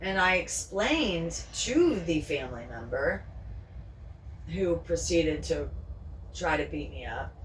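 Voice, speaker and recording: A woman speaks fairly slowly, with long, frequent pauses. Noticeable background noise and audible room echo surround her. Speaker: pet vlogger. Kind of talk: casual vlog chat. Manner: whispering.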